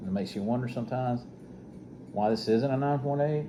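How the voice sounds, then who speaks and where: A man speaks at a moderate pace with an Alabama accent, his tone dark and mellow, with audible echo in the room. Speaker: comic book collector, YouTuber. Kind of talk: casual show-and-tell video.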